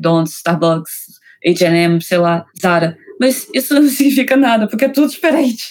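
Using an ordinary speaking voice, a woman with a medium pitch talks at a moderate pace with lively intonation. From Rio de Janeiro, Brazil. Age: 20s. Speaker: author. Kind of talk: interview.

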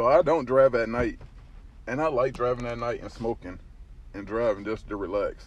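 A man at a medium pitch with fairly even intonation and a moderate pace. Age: 30s. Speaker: podcast host. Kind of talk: casual monologue. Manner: laid-back, laughing often.

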